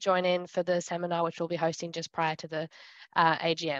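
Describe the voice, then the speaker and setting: In a dry recording with no echo and a quiet background, a woman speaks at a fairly quick pace. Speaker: seminar host. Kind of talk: announcements to online audience. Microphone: video call.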